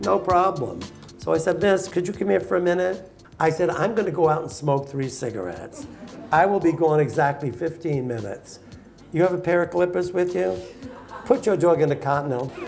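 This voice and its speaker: A man with a New York accent speaks at a high pitch and a fairly quick pace. Faint music plays in the background. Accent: New York American. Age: 80s+. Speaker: dog show judge. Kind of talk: interview answer, storytelling to live audience. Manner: humorous, outspoken. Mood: animated, humorous storytelling. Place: hall.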